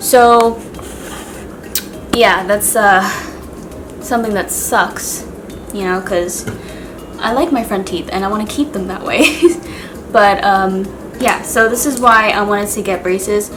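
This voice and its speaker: A woman speaks at a medium pitch and a fairly slow pace, with ordinary pitch variation and long, frequent pauses. Music plays in the background, and the room echo is audible. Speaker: beauty and lifestyle vlogger. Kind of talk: casual vlog talk to camera. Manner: casual, filler-heavy.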